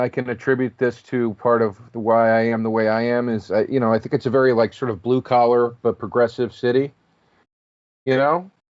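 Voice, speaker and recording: A man with a Philadelphia accent. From Philadelphia area, Pennsylvania. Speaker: comedian. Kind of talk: casual chat. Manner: halting.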